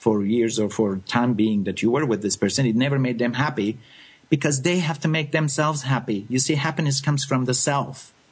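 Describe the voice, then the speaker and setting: A man speaks at a medium pitch with ordinary variation. His voice is somewhat breathy. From France. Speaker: psychic medium radio host. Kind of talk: live call-in radio readings. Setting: live radio, phone calls.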